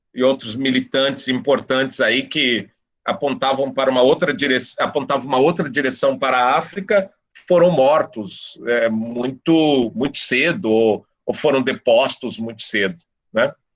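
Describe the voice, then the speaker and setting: At a fairly slow pace, a man speaks with a normal speaking voice. His pitch is medium, with ordinary variation. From São Paulo, Brazil (east zone). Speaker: professor. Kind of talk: guest talk in discussion circle.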